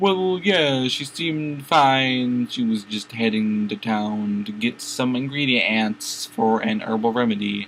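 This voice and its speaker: A man in a put-on character voice, medium pitch, fairly slow pace and hardly any pauses, over clear background noise. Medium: read story.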